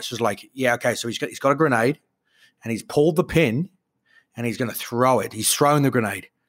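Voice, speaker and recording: Someone with an Australian accent is heard in a very clean recording with a silent background. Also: man. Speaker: podcast co-host. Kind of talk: casual chat.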